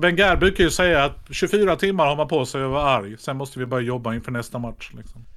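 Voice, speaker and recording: Here is an unremarkable speaking voice from a man. He talks at medium pitch and a fairly quick pace. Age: 50s. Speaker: actor and comedian. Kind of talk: casual chat.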